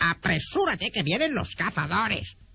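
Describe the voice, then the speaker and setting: The voice is a put-on character voice. Its pitch sits in the middle, and the speed is moderate. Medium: read story. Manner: interjecting "oh!".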